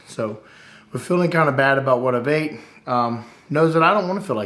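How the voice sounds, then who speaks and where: Fairly quick, fairly high-pitched speech from a man, with ordinary pitch variation and audible room echo. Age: 40s. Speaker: vlogger. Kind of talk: casual chat. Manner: hesitant, many fillers.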